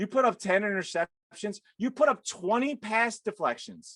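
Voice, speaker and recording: A man's extremely high, animated voice, dry and close with no echo. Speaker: NFL podcaster. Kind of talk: casual sports debate. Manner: fast.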